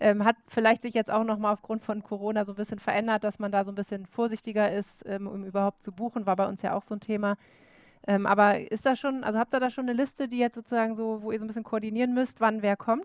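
A woman talks very fast at a fairly high pitch, in a flat monotone. The sound is dry and close, with no echo. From Bremen, northern Germany. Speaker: podcast co-host. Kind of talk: casual chat.

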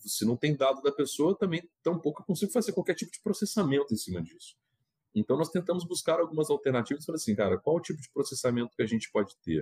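A man talks at a very fast pace in a fairly high pitch, with a dark, mellow tone and vocal fry. His very wide pitch swings and big swings in loudness come through a dry, close sound with no echo. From Minas Gerais, Brazil. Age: 40s. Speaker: fintech revenue executive. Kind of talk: interview.

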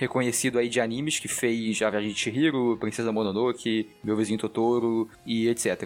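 A man talks at a moderate pace in a medium pitch. Noticeable background noise can be heard. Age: 20s. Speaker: podcast co-host. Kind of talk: casual chat.

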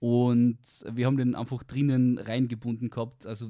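Male speech at medium pitch with a Carinthian accent, a dark, mellow tone and a moderate pace. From Austria, Carinthia. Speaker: university student. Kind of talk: casual chat.

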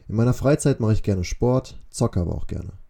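The voice is dark, mellow and somewhat breathy, moving at a fairly quick pace with lively intonation. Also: man. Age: 20s. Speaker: podcaster, student. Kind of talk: podcast intro monologue. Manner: casual.

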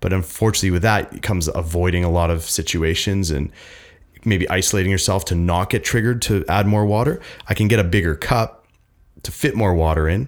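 Recorded very cleanly against a silent background, a man talks at a fairly quick pace in a very deep, low voice with ordinary pitch variation. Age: 30s. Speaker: mental health nonprofit founder. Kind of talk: casual chat. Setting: studio.

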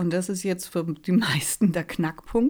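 A woman's somewhat breathy voice, dark and mellow in tone, carries lively intonation at a fairly slow pace. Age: 40s. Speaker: resilience trainer and life coach. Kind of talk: casual chat.

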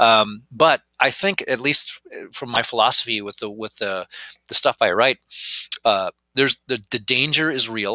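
With an American accent, a man speaks at a fairly slow pace in a bright, sharp tone. The sound is dry and close, with no echo. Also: medium pitch for a man, ordinary pitch variation. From rural Wisconsin, US Midwest. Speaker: game designer and convention organizer. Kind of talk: casual interview chat.

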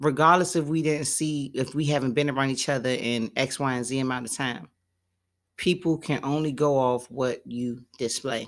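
This woman has a very deep, low pitch and ordinary pitch variation, talking at a moderate pace in a very clean recording with a silent background. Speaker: podcast host. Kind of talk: casual chat.

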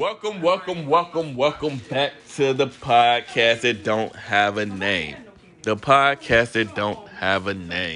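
With an American accent, a man speaks at a very slow pace and a medium pitch, making very wide pitch swings over noticeable background noise. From Texas. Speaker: podcast host. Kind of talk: casual chat. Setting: recording with friends on a trip.

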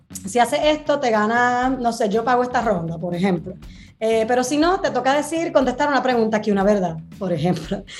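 A woman's fairly high, animated voice, fairly quick, with lively intonation. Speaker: sex educator. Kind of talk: casual chat.

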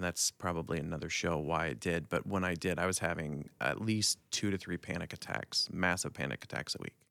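Speaking at a fairly quick pace with vocal fry and ordinary pitch variation, a man is heard in a very clean recording with a silent background. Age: 40s. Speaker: former pastor. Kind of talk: casual chat.

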